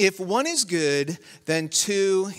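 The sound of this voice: With lively intonation and a fairly bright tone, a man speaks slowly in a fairly high voice.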